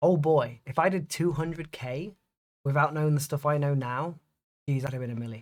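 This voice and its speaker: A man's somewhat breathy voice at a moderate pace, with fairly even intonation. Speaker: day trader. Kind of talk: live trading commentary. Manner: monotone.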